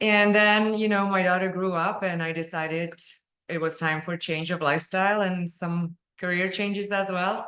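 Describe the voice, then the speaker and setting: A woman speaks with a Czech accent and a bright, sharp tone. Her pace is moderate and her intonation fairly even. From Czech Republic, Prague. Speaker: dental technician and webinar presenter. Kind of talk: webinar lecture.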